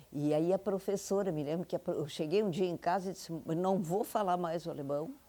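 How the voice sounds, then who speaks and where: Her voice is fairly low and carries a dark, mellow tone. The woman talks at a fairly quick pace. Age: 80s+. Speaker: interviewee, elderly woman sharing memories. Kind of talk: oral history interview. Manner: halting.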